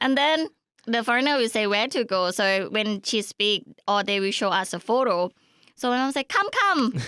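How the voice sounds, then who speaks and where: A woman's fairly high voice, lively in intonation, at a moderate pace and very even loudness, in a dry, close sound with no echo. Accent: Thai. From rural Thailand. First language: Thai. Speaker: podcast guest. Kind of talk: casual chat. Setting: studio.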